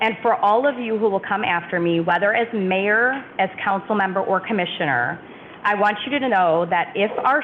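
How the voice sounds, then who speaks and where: A woman at medium pitch over noticeable background noise. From not from St. Charles. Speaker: mayor. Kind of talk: farewell speech at council meeting. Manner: fast.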